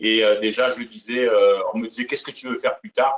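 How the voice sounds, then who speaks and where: A man in a strong southern French accent. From Provence, southern France. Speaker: singer, Elvis impersonator. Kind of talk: interview. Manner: hesitant, many fillers.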